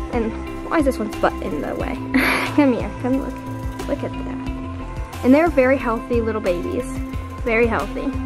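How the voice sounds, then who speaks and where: With clear music playing in the background, a woman speaks at a moderate pace. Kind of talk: casual vlog chat. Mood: delighted, soft, giggly. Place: home room. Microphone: phone near.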